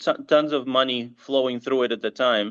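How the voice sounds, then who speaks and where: A man's fairly high voice at a moderate pace over a quiet background. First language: bilingual English and Russian. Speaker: marketing agency CEO. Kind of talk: interview. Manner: halting, many restarts.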